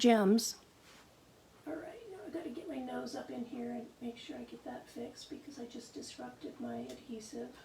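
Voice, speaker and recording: A woman at a moderate pace with audible room echo. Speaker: card-making demonstrator. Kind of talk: live craft tutorial. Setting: live video stream. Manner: chatty, conversational.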